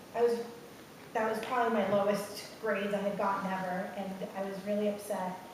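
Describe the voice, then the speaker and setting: Over noticeable background noise and audible room echo, a woman speaks at a medium pitch and moderate pace with monotone, flat intonation. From Puerto Rico. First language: Spanish. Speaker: education professional. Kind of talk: personal testimony on panel.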